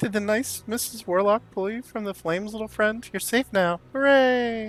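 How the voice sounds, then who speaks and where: A fairly high, put-on character voice at a medium speed. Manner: cutesy, sweet.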